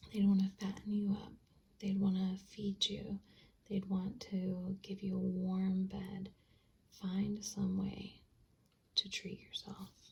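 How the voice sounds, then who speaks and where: Soft-spoken and relaxed, with a gentle tone, the speaker goes at a very slow pace with long, frequent pauses. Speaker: tarot-style reader using stationery supplies. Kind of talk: ASMR-style pick-a-card reading. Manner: relaxed, soft-spoken; gentle, reassuring.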